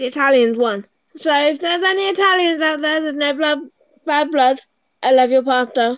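This woman has a strong English accent and a high pitch with ordinary variation. She speaks at a fairly quick pace. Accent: English, fairly thick. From UK. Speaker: podcast co-host. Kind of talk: casual chat. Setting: remote recording.

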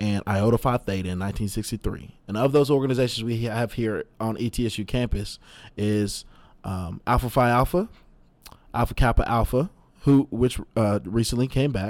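Heard in a very clean recording with a silent background, the speaker uses an ordinary speaking voice with ordinary pitch variation at a moderate pace. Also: man, medium pitch for a man. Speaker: student podcast host. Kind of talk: casual interview. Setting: studio.

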